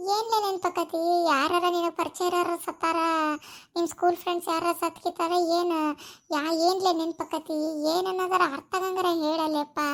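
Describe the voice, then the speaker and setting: A woman uses a cartoonish character voice at an extremely high pitch, with monotone, flat intonation at a moderate pace in a very clean recording with a silent background. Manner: brusque, scolding.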